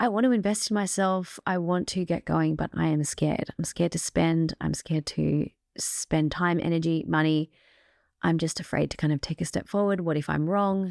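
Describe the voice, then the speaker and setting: On a very clean recording with a silent background, a woman with an Australian accent talks at a moderate pace. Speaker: podcast host. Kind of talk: motivational podcast monologue. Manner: casual, chatty with fillers.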